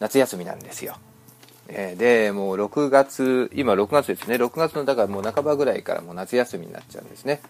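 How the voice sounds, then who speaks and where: Music plays in the background as a man at medium pitch with ordinary pitch variation talks at a fairly quick pace, with big swings in loudness and a dry, close sound with no echo. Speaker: podcast host on children's health. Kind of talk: casual monologue. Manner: rambling with many fillers.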